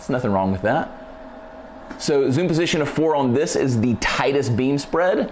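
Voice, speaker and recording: A man talks at a very fast pace in an energetic tone with lively intonation. Light background noise sits behind him. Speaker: photography lighting presenter; presenter. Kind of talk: live tutorial. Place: studio.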